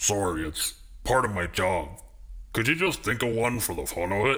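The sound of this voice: A man puts on a raspy, gruff character voice pitched fairly low. He delivers it at a moderate pace with lively intonation.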